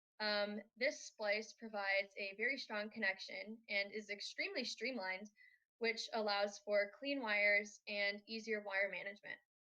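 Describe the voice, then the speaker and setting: A woman speaks at a moderate pace with an American accent, her pitch fairly high. Her intonation stays fairly even in an unremarkable speaking voice. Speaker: robotics team student presenter. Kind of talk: conference presentation.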